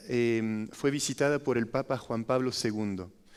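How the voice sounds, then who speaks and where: A man with a French accent speaks at a moderate pace. The recording is very clean, with a silent background. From France. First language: French (speaking Spanish). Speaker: foundation director, architect. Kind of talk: testimony talk. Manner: halting, with fillers.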